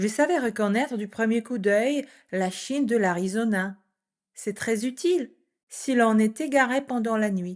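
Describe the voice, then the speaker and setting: The speaker goes at a fairly slow pace with ordinary pitch variation. The background is quiet. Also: woman, fairly high pitch for a woman. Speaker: French teacher. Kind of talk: reading aloud. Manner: clear.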